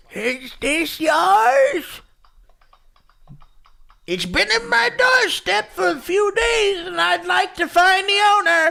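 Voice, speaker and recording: Using a put-on character voice, a man speaks very slowly at an extremely high pitch, with very wide pitch swings and long, frequent pauses. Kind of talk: polite, neighborly.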